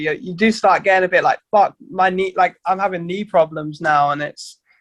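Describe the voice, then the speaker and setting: The sound is dry and close with no echo as a man speaks at a high pitch and a moderate pace with fairly even intonation. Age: 30s. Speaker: hardcore punk band vocalist. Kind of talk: casual chat.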